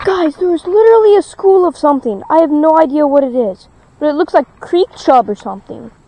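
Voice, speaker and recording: Lively intonation and a moderate pace stand out against noticeable background noise. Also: woman. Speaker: fishing vlogger. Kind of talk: casual outdoor vlog. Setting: outdoors at a creek. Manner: loud.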